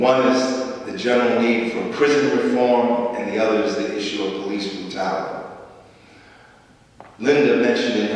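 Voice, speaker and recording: Audible room echo and noticeable background noise surround a man whose medium-pitched voice keeps a fairly even intonation. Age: 60s. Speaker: activist speaker. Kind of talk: speech to church audience. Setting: church.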